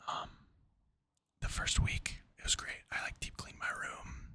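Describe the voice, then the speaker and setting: This is a man. He is whispering. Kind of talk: casual talk to camera. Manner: whispered.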